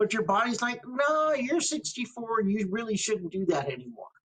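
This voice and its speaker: With lively intonation, a man speaks. His pace is moderate. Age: 60s. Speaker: community organization staff member. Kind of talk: personal testimony. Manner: halting, many fillers.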